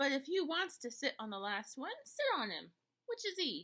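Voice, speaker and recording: Using a put-on character voice, a woman speaks at a high pitch. Her pace is moderate. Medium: read story. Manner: gruff, bickering.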